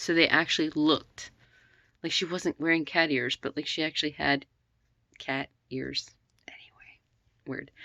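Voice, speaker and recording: Against a very clean recording with a silent background, a woman speaks at a moderate pace in a bright, sharp tone, leaving long, frequent pauses. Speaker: vlogger. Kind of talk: casual chat. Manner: rambling, halting with fillers.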